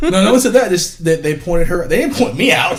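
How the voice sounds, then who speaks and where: An animated-sounding man with music in the background. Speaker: podcast co-host. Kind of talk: casual chat.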